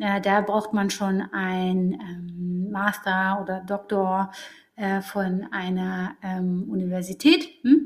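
Somewhat breathy female voice of medium pitch, with ordinary pitch variation and a very slow pace. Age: 30s. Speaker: psychologist working in HR. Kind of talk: interview.

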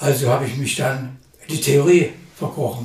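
There is noticeable background noise and audible room echo as a man speaks with a fairly high pitch. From Saxony, Germany (Leipzig). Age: 70s. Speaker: poet and retired aesthetics professor. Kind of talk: interview. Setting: studio.

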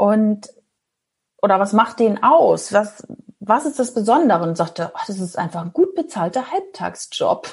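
Somewhat breathy and fairly high-pitched, a woman speaks at a fairly slow pace with very wide pitch swings. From northern Germany, Ostholstein. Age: 40s. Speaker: former pharma sales rep turned traveller and podcaster. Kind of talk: interview.

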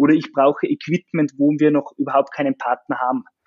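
A man's pitch sits fairly high. He speaks at a moderate pace. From Austria, Salzkammergut (Upper Austria). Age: 20s. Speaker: software startup co-founder. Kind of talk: interview. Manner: halting, many fillers.

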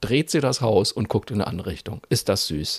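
A man speaks at a fairly quick pace with an ordinary speaking voice. His pitch is medium, and the sound is dry and close with no echo. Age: 40s. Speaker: podcast co-host. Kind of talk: casual chat.

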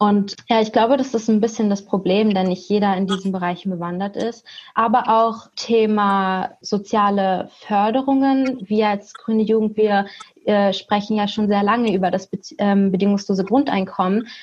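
A woman's medium-pitched voice, an ordinary speaking voice, with fairly even intonation at a moderate pace. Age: 20s. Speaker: university student, youth activist. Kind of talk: casual panel discussion. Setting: video call from home.

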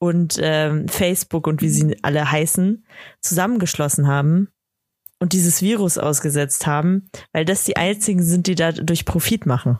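The sound is dry and close with no echo, carrying a woman's unremarkable speaking voice. Her pitch is fairly low, with ordinary pitch variation. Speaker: podcast co-host. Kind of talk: casual chat. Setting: remote call.

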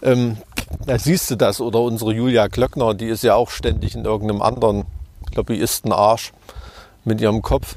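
A man with a Thuringian accent talks at a moderate pace and a medium pitch, with vocal fry. His intonation stays fairly even, broken by long, frequent pauses. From Thuringia, eastern Germany. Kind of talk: casual interview.

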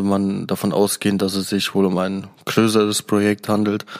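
A man's fairly low voice proceeds at a moderate pace. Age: 20s. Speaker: podcast host. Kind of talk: solo review podcast.

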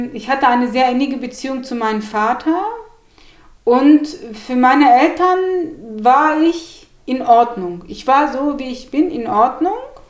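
A woman speaks slowly-ish in a high voice, with lively intonation and big swings in loudness. Audible room echo and noticeable background noise surround her. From Turkey (Gemlik), raised in Hannover, Germany. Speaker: journalist and author. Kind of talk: interview. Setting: at her home.

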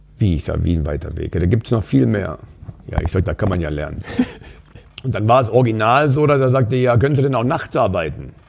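A man's fairly low voice at a very fast pace, with very wide pitch swings and noticeable background noise. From Saxony, Upper Lusatia (East Germany). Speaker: bar owner. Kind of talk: casual chat. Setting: in a bar.

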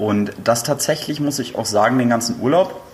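A man's medium-pitched voice with ordinary pitch variation, against noticeable background noise. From northern Germany, Flensburg. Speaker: podcast guest, host's friend. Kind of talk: casual chat.

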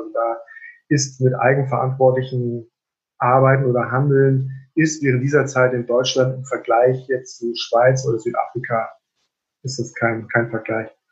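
Somewhat breathy, a man with a medium pitch speaks at a fairly slow pace in a monotone, flat intonation. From northern Germany, Rendsburg (Schleswig-Holstein). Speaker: general practitioner doctor. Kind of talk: interview conversation. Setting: video call.

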